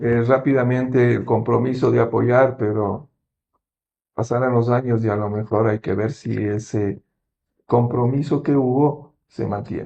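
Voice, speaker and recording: A man's fairly slow, fairly even delivery at a medium pitch, with a dark, mellow tone. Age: 60s. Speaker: medical doctor. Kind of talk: interview on health.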